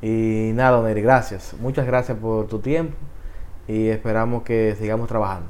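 A man talks at a moderate pace in a medium pitch with fairly even intonation. Audible room echo surrounds his voice. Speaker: youth ministry podcast host. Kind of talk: interview.

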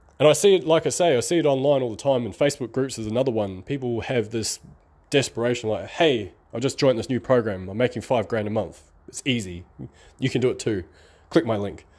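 Upbeat and very fast, a man speaks at medium pitch with ordinary pitch variation. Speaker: online marketing podcaster. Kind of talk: solo podcast monologue. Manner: casual, upbeat.

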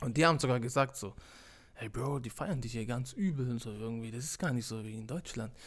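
The speech comes at a fairly quick pace with ordinary pitch variation and is mumbled. Loudness swings widely. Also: man, medium pitch for a man. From Stuttgart area, Swabia. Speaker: DJ. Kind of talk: casual chat. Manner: mumbling, indistinct.

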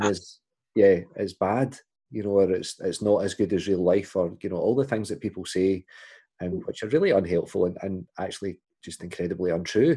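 A man speaks with a fairly low pitch and a dark, mellow tone. The background is quiet. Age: 40s. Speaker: podcast host and church minister. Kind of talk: interview.

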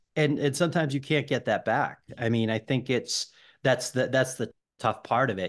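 A man speaks at a moderate pace and a medium pitch. The background is quiet. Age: 40s. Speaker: debut novelist. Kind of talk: casual chat. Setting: podcast interview.

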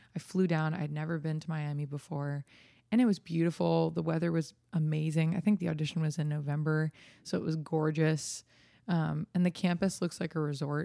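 A woman speaks with an American accent and fairly even intonation. Her voice has a dark, mellow tone and a very deep, low pitch. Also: fairly quick pace, very clean recording, silent background. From New Jersey. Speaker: singer-songwriter. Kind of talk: interview.

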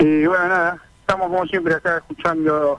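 High-pitched male speech, fairly even in intonation, moving at a moderate pace. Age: 60s. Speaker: retired bus driver, radio caller. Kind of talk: call-in chat.

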